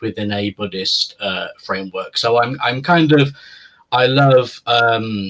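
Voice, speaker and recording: This man talks at a fairly slow pace with fairly even intonation. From UK. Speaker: philosopher. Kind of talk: interview conversation. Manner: hesitant, many fillers.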